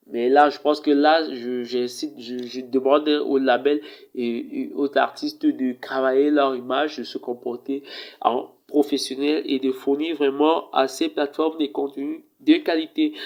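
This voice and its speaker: Speaking fairly slowly, a man with a fairly high pitch keeps a monotone, flat intonation. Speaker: tech reviewer, video presenter. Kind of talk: casual review talk to camera. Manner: hesitant, many fillers.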